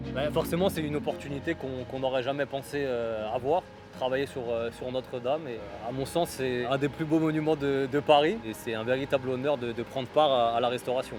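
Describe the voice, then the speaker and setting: A man speaks at medium pitch and a fairly quick pace, with ordinary pitch variation and hardly any pauses. Music plays in the background. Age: 20s. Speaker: apprentice stonemason. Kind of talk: documentary interview. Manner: hesitant, repeats words.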